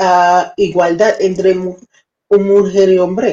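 Speaking at a very slow pace, a woman has a dark, mellow tone. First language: not Spanish (speaking Spanish). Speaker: live-stream news and debate co-host. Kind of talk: casual live-stream chat. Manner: halting, searching for words.

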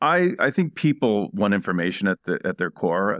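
A man's fairly low voice with an American accent, a plain, everyday voice, ordinary pitch variation, and a fairly quick pace. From Indiana, US Midwest. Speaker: digital news executive. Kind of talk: interview.

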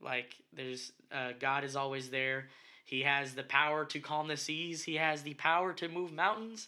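Bright and sharp in tone, a man talks at a moderate pace in a fairly high pitch with ordinary pitch variation. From Puerto Rico. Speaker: podcast host, church youth music director. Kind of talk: casual chat.

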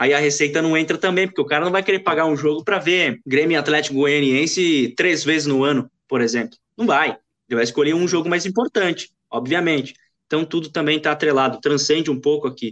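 Here a man with an unremarkable speaking voice talks fairly quickly at a fairly high pitch, with ordinary pitch variation, very even loudness and hardly any pauses. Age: 20s. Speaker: sports journalist. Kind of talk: casual sports chat.

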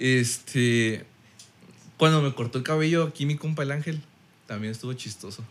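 The speech moves at a moderate pace with ordinary pitch variation and long, frequent pauses. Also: man, medium pitch for a man. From Mexico. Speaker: podcast guest. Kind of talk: casual chat.

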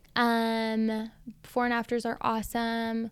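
A woman speaks loudly and with animation, her voice pitched high, on a very clean recording with a silent background. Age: 20s. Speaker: salon owner, entrepreneur. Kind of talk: casual interview chat. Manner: loud, outgoing, animated.

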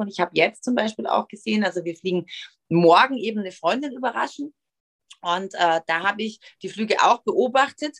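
A woman speaks at a medium pitch and a moderate pace in a plain, everyday voice. Her intonation is lively, and the sound is dry and close with no echo. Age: 40s. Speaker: influencer and TV presenter. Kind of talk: interview.

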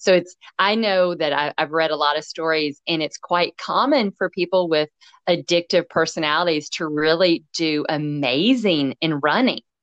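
With a Tennessee accent, a woman speaks at a moderate pace with fairly low pitch and ordinary pitch variation. The sound is dry and close with no echo, and the background is quiet. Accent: Southern US (Tennessee). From US South. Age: 50s. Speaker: podcast host and running coach. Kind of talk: casual interview chat. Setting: remote call. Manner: animated.

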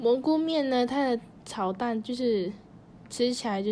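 A woman's dark, mellow tone at a fairly slow pace, with audible room echo. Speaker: student podcast host. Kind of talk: scripted podcast monologue.

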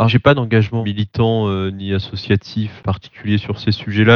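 A man with a fairly low voice talks at a fairly quick pace in a flat monotone, the sound dry and close with no echo. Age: 30s. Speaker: tech company co-founder. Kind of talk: interview.

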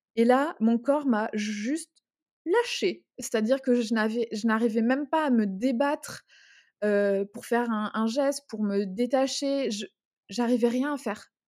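In a very clean recording with a silent background, a woman speaks at a high pitch and a fairly slow pace, with ordinary pitch variation and long, frequent pauses. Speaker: podcast co-host, entrepreneur. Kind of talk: personal testimony in casual chat. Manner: halting, emotional.

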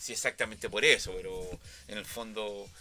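A man's intonation stays fairly even while music plays behind him. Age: 60s. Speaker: sound engineer. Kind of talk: interview. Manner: halting, many repetitions and fillers.

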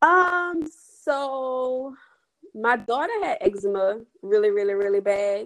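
Speaking with a New Orleans accent, a woman uses a high pitch and very wide pitch swings. Her pace is very slow. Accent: New Orleans Southern US. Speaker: skincare entrepreneur. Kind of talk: casual interview chat.

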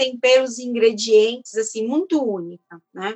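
The woman's pitch is high. She talks at a moderate pace, and her pitch varies in an ordinary way. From São Paulo, Brazil. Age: 30s. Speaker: chef and culinary researcher. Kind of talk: interview.

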